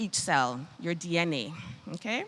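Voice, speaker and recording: A woman speaks with a Bajan accent and a fairly low pitch. Her intonation is lively. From Barbados. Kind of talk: health talk.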